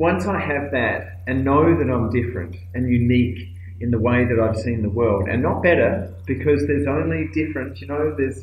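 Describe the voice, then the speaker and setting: A man with an Australian accent talks at a moderate pace and a medium pitch, with lively intonation and hardly any pauses. Audible room echo and noticeable background noise surround him. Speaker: aid worker and speaker. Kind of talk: recorded video talk. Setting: cold office room abroad. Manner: hesitant, many fillers.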